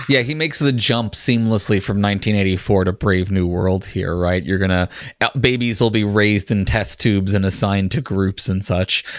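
A man with an American accent has an unremarkable speaking voice and a fairly low pitch with ordinary pitch variation. His loudness stays very even, and there are hardly any pauses. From United States. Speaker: podcast host, guest. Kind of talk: casual chat.

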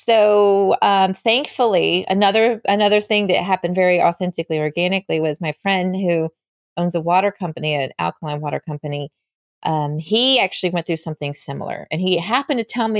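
A woman with a plain, everyday voice and an American accent, medium pitch, lively intonation and a fairly quick pace, on a very clean, dry, close recording with no echo and a silent background. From North Carolina, US South. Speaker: musician and vodka brand founder. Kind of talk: interview.

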